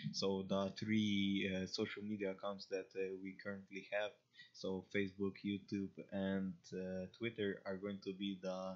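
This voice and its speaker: In a Slavic accent, the speaker goes at a fairly slow pace with monotone, flat intonation. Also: man. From Slavic country. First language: Slavic language. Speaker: crypto community streamer. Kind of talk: casual livestream talk. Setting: livestream. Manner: halting, many fillers and restarts. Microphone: connection issues, lag.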